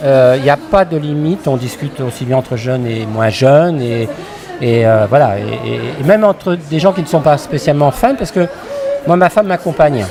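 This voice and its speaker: Crowd noise fills the background. Over it, a man with a fairly high pitch and lively intonation speaks at a moderate pace. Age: 60s. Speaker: fan at a convention. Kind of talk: casual interview. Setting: fan convention. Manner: halting.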